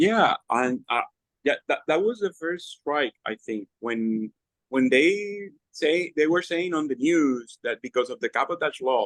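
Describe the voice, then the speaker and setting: A fairly high-pitched man's voice with very wide pitch swings at a fairly slow pace, in a dry, close sound with no echo. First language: Spanish. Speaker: political party leader and candidate. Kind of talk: panel discussion.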